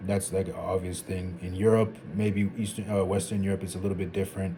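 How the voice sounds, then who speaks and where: A man's fairly low, somewhat breathy voice with a dark, mellow tone, monotone, flat intonation and a fairly quick pace. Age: 20s. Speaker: vlogger. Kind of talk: casual monologue. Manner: conversational.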